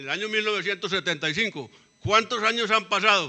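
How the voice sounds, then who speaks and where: A man speaks in a raised, projected voice at a high pitch and a very fast pace. His tone is bright and sharp. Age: 70s. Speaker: former cadastral surveyor, community participant. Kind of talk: public meeting debate. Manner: halting.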